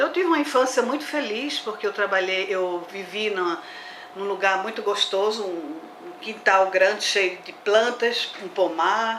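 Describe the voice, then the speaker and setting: A woman talks at a moderate pace with a fairly high pitch and lively intonation. Noticeable background noise and audible room echo are present. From Brazil, Olinda, Pernambuco. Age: 60s. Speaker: botanist. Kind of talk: interview.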